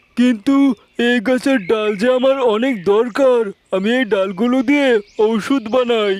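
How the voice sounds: A man's cartoonish character voice, extremely high in pitch, at a moderate pace with fairly even intonation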